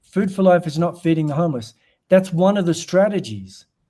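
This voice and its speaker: A man with an Australian accent speaks at a moderate pace in a high-pitched voice with a dark, mellow tone. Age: 60s. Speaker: humanitarian charity director and former monk. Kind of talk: podcast interview.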